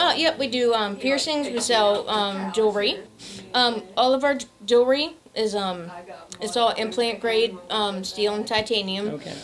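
A woman at a moderate pace with ordinary pitch variation over light background noise. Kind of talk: interview answer. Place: shop. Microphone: handheld.

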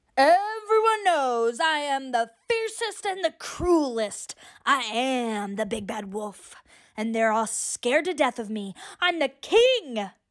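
On a very clean recording with a silent background, a woman uses a put-on character voice at a high pitch, with very wide pitch swings and a fairly slow pace. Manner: boastful, loud, trumpeting.

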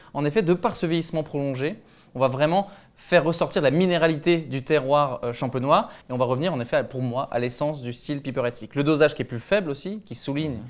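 A man talks at a very fast pace. His pitch sits fairly high, with ordinary variation. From Champagne region, France. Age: 30s. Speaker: winemaker. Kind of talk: interview about wine tasting. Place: studio. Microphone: lapel.

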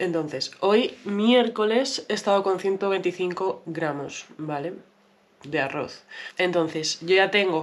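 Speaking at a very slow pace, a woman shows ordinary pitch variation. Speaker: vlogger. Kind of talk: casual vlog chat. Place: kitchen. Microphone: phone near.

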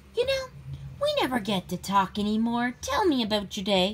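Against clear background noise, a female-sounding put-on character voice speaks at a moderate pace and a fairly high pitch. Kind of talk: children's story read-aloud. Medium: read story. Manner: wheedling, insistent. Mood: coaxing, chatty.

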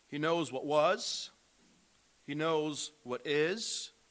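A man is speaking with a bright, sharp tone. The background is quiet. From Brazil. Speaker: missionary preacher. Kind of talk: sermon. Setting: church. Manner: earnest, preaching with pauses and fillers. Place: church.

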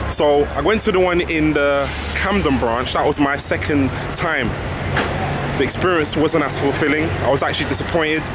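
Long, frequent pauses at a moderate pace, with ordinary pitch variation, a dry sound with no echo, and noticeable background noise. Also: man. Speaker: food reviewer vlogger. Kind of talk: casual vlog chat. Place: street. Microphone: phone near.

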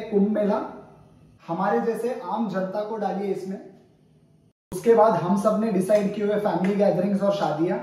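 A man speaks at a fairly slow pace in a high voice, with audible echo in the room. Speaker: comic chef persona. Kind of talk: satirical cooking-show monologue. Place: kitchen. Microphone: camera far.

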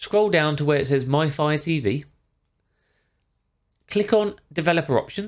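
The background stays quiet as a man talks. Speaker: tech tutorial creator. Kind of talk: tutorial. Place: home room.

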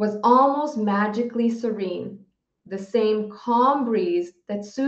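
The background is quiet as someone reads in a natural voice with ordinary pitch variation.

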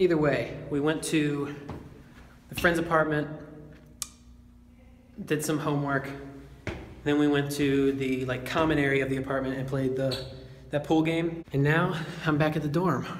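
A man talks in a monotone, flat way at a moderate pace, pausing long and often. The recording has audible room echo and light background noise. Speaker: college vlogger. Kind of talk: casual vlog chat. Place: hall. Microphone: phone near.

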